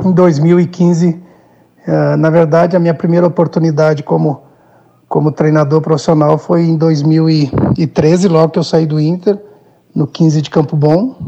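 A man with a fairly high voice speaks fairly slowly with fairly even intonation and long, frequent pauses, over noticeable background noise. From Brazil, Rio Grande do Sul (Minas do Leão). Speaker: football coach, former player. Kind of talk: interview. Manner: halting, repeats words.

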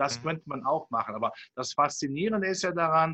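A man speaks at a moderate pace with ordinary pitch variation and a bright, sharp tone, the sound dry and close with no echo. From Rhineland, Cologne. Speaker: capital market analyst. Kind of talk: interview.

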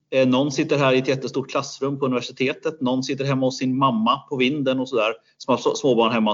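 Speaking very fast, a man holds fairly even intonation at a medium pitch. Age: 40s. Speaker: business school researcher. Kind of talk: interview.

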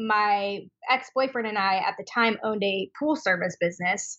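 With an American accent, a woman talks in a plain, everyday voice, fairly high in pitch and lively in intonation. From Washington State (Spokane). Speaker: esthetician and skincare business owner. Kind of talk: interview.

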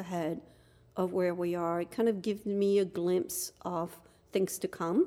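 On a very clean recording with a silent background, a woman talks at a moderate pace with a French accent. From France, Dunkirk. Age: 50s. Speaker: podcast guest, host's wife. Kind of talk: casual chat.

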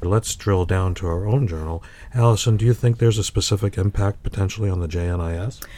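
In an American accent, the speaker talks at a fairly quick pace with a dark, mellow, somewhat breathy tone and fairly even intonation. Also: man. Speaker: medical journal editor and podcast co-host. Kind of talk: podcast interview. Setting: studio.

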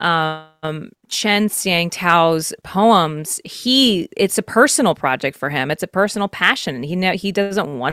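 A woman with an American accent speaks at a fairly slow pace in a normal speaking voice. Her pitch is fairly low with ordinary variation, and the sound is dry and close with no echo. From Texas. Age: 20s. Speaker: actress and musician. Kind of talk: casual interview chat. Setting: video call.

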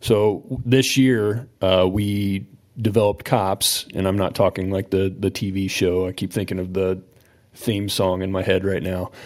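A man talks at a fairly slow pace in a fairly low pitch with fairly even intonation, an unremarkable speaking voice. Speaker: police officer. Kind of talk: casual chat.

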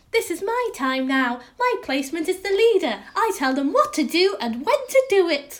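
A woman performs a put-on character voice at an extremely high pitch. Her pitch swings very widely. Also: moderate pace. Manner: domineering, threatening.

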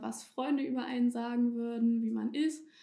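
In an ordinary speaking voice, a woman with a fairly high pitch talks at a moderate pace with fairly even intonation. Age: 20s. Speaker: police student and beauty pageant contestant. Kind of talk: casual interview.

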